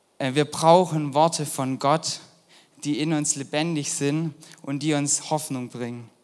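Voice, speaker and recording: A man with a fairly high pitch speaks at a very slow pace in a monotone, flat intonation. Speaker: volunteer youth preacher. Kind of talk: sermon.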